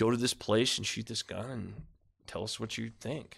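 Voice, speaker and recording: A man's voice with vocal fry and fairly even intonation. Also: very clean recording, silent background. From US, rural area. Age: 40s. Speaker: magazine writer. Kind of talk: casual interview. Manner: halting.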